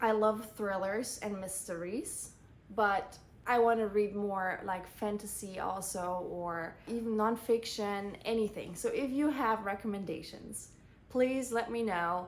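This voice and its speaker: A woman's medium-pitched voice with a slight German accent, fairly even intonation, a fairly slow pace and audible room echo. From Germany. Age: 20s. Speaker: book vlogger. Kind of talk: casual book review monologue.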